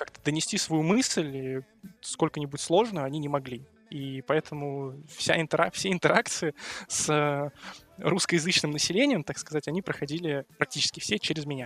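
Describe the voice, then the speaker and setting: A man with an ordinary speaking voice and a fairly high pitch talks at a moderate pace with ordinary pitch variation, recorded dry and close with no echo. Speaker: university student. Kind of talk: casual chat.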